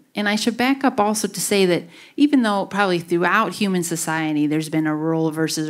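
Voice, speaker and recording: Here a woman talks at a fairly quick pace in a Wisconsin accent, with ordinary pitch variation. The recording is very clean, with a silent background. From Wisconsin, US (Grafton). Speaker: university researcher and author. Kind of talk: public talk Q&A.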